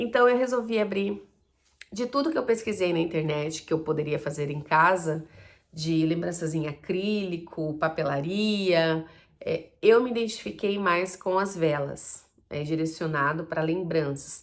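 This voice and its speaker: Lively intonation at a fairly slow pace. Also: woman, fairly low pitch for a woman. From Brazil, Campo Grande, Mato Grosso do Sul. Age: 40s. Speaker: vlogger, small entrepreneur. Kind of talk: personal vlog monologue. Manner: casual, conversational with fillers.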